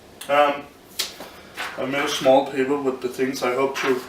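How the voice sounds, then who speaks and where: A man mumbles at a moderate pace with a non-native accent. Noticeable background noise is present. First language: not English. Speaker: amateur physics explainer. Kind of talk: informal physics lecture to camera. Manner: mumbling, hesitant, unscripted.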